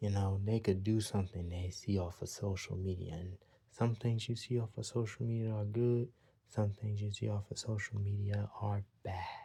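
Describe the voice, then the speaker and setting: On a very clean recording with a silent background, a man speaks quietly at a moderate pace in a fairly low pitch, his dark, mellow tone somewhat breathy and his intonation monotone and flat. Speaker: vlogger giving opinions. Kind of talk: opinion monologue. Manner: quiet, talking a little low; repetitive.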